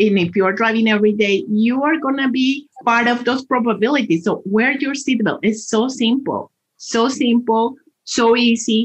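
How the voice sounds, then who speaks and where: This woman speaks in a Spanish accent at a moderate pace, her pitch fairly high. Her loudness stays very even, with ordinary pitch variation. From Colombia. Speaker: transportation department spokesperson. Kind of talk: interview.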